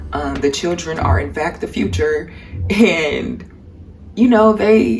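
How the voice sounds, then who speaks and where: A woman with an American accent speaks at a fairly slow pace. There is noticeable background noise. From Cleveland, Ohio, US. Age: 20s. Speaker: artist. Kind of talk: casual talk to camera.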